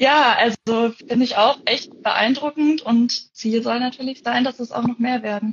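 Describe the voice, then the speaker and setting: A woman speaks in a high voice at a fairly slow pace. Her intonation stays fairly even. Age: 20s. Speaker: forestry student and camp volunteer. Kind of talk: casual interview. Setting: Instagram live video call.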